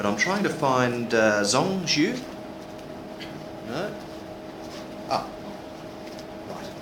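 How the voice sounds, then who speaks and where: A man with an Australian accent at a very slow pace, with long, frequent pauses, very wide pitch swings, audible room echo and noticeable background noise. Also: medium pitch for a man. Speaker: session moderator. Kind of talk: conference moderation.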